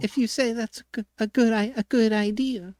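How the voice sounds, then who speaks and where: In a raspy, put-on character voice with a fairly high pitch, the speaker keeps a moderate pace on a very clean recording with a silent background. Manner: slow, raspy.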